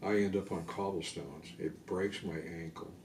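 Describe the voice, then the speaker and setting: Audible room echo surrounds a man speaking at a fairly slow pace in a very deep, low pitch with a dark, mellow tone. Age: 60s. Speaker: army veteran. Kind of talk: oral history interview. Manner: hesitant, many fillers and repetitions.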